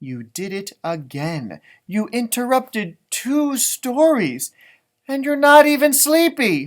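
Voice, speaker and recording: Using a put-on character voice, a man pitches extremely high and talks at a fairly slow pace. His pitch swings very widely, and his loudness rises and falls sharply. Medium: read story.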